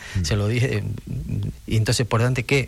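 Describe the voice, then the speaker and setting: This man's medium-pitched voice is somewhat breathy, and his intonation stays fairly even. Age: 50s. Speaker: karate coach and sports director. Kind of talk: radio interview.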